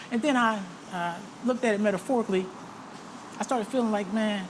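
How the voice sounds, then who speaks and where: Very fast speech over noticeable background noise. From US South. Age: 60s. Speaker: retired military veteran. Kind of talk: interview. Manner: casual, many fillers.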